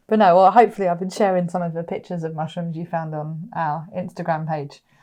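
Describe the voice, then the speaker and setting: In a West Country accent, a woman with fairly low pitch and a dark, mellow tone talks at a very fast pace, her intonation fairly even and her loudness swinging widely. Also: quiet background. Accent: West Country, milder than her partner's. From West Country, England. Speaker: podcast co-host. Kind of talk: casual chat. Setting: recorded podcast, also on video.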